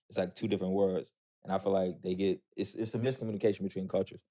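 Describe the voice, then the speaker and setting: Talking at a very fast pace, a man with a fairly low pitch, vocal fry and a dark, mellow tone shows ordinary pitch variation in a dry, close recording with no echo. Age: 20s. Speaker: podcast host. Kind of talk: interview.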